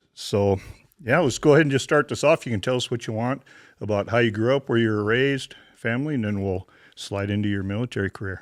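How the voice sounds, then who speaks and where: On a very clean recording with a silent background and a dry, close sound with no echo, a man with an Upper Midwest accent talks very fast at medium pitch with ordinary pitch variation. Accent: Upper Midwest American. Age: 60s. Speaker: podcast host. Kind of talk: interview.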